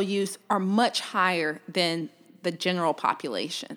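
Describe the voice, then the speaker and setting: A woman with a Southern US accent speaks at a moderate pace and a medium pitch. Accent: Southern US (Georgia). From US South, Georgia (Columbus). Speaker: orthopedic surgeon. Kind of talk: interview.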